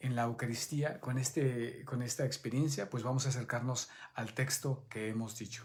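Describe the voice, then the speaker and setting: A man speaks at medium pitch in a monotone, flat intonation. His voice is somewhat breathy. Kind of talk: Bible study teaching. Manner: halting.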